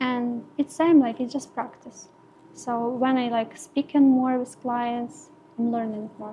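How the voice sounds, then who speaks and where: Her voice is high-pitched, with a Ukrainian accent. The woman speaks at a fairly slow pace with fairly even intonation. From Ukraine. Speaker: permanent makeup artist. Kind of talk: podcast interview. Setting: podcast recording. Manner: halting, many fillers.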